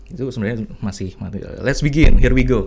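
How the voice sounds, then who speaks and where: At a moderate pace, a man delivers his words. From Central Java (Purwokerto); Central Java. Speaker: art director and graphic designer, guest lecturer; guest lecturer. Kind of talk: lecture. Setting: studio. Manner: animated. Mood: relaxed, humorous. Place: home room. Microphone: studio mic.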